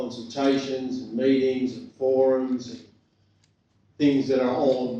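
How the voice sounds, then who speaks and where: A man at medium pitch and fairly slow pace, with audible room echo. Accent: Australian. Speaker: government commissioner. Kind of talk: public talk. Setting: community meeting with microphone. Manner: loud.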